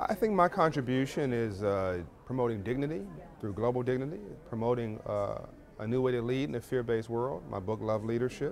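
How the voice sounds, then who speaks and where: Over noticeable background noise, a man with an American accent talks at a fairly quick pace, his pitch medium and its variation ordinary. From Los Angeles. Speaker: financial literacy activist. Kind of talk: interview answer. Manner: rhythmic, energetic.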